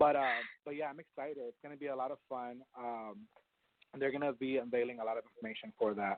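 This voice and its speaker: Very fast and with big swings in loudness, a man talks at a medium pitch with fairly even intonation. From Texas, Port Arthur near Houston. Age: 30s. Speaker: PR and influencer marketing expert. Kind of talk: interview.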